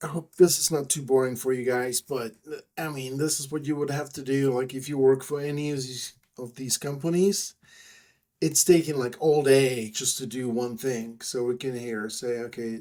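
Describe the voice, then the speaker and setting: A man with a Czech accent speaks at medium pitch and a moderate pace. His tone is dark and mellow, and his intonation fairly even. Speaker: software developer. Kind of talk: screen-recorded software tutorial. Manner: casual, hesitant.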